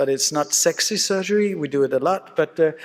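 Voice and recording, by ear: A man with a fairly high pitch talks at a fairly quick pace, with ordinary pitch variation.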